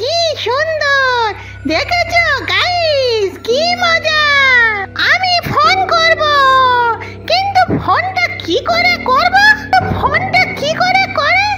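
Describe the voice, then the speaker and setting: A put-on, squeaky, female-sounding character voice, extremely high in pitch and very slow in pace. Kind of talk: comic cartoon voice acting. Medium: cartoon. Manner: excitable, repetitive, silly.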